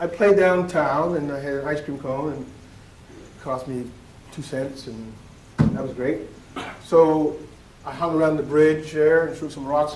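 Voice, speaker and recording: A man with a Nova Scotian accent speaks at a fairly high pitch and a fairly slow pace, with fairly even intonation and big swings in loudness. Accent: Canadian (Nova Scotian) English. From Nova Scotia, Canada. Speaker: educator and keynote speaker. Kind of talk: conference keynote speech. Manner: storytelling, conversational.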